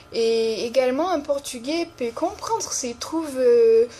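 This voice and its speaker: A woman speaks with a Brazilian accent. Background noise is noticeable. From Brazil, São Paulo. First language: Brazilian Portuguese (speaking French). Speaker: language teacher. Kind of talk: tutorial. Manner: hesitant, many fillers.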